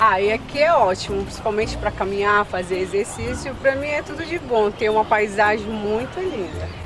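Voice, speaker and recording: Lively intonation at a moderate pace with hardly any pauses, amid crowd noise in the background and audible room echo. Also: woman, fairly high pitch for a woman. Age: young. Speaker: interviewee, local resident. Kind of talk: street interview.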